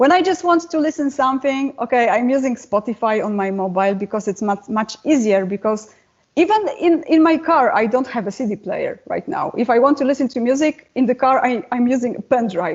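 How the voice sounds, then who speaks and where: A woman with a non-native accent talks at a fairly quick pace with hardly any pauses. Her high-pitched voice makes very wide pitch swings. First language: not English. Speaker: metal singer and guitarist. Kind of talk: interview.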